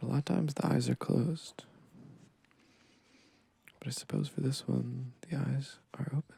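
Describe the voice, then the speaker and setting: Long, frequent pauses break up the soft-spoken delivery. The tone is relaxed. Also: moderate pace. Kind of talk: ASMR sketching session, casual rambling talk. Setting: recorded with dual microphones. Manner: soft-spoken, relaxed.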